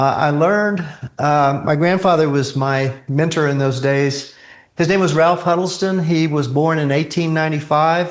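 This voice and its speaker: Audible room echo surrounds a man speaking with an American accent. His pitch is fairly high, his intonation fairly even, and his loudness very even. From Texas Gulf Coast, between Galveston and Houston. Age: 70s. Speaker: retired electrical engineer. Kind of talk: presentation to astronomy club. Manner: hesitant, many fillers.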